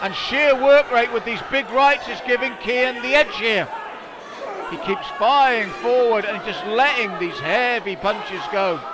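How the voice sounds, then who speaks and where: A man at a fairly slow pace, dry sound with no echo, noticeable background noise. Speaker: ringside commentator. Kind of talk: sports commentary. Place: hall.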